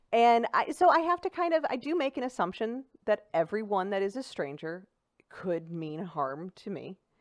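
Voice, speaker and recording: A woman with a St. Louis accent swings her pitch very widely in a dry, close sound with no echo. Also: medium pitch for a woman, moderate pace. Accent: St. Louis Midwestern American. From St. Louis, Missouri (South City). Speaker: stand-up comedian. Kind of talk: casual chat. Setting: studio.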